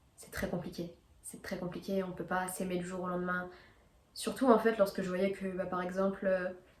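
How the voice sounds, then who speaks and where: In a room with audible echo and noticeable background noise, a woman at a medium pitch speaks with monotone, flat intonation and big swings in loudness. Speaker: video blogger. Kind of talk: casual monologue to camera. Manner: fast; hesitant, many fillers.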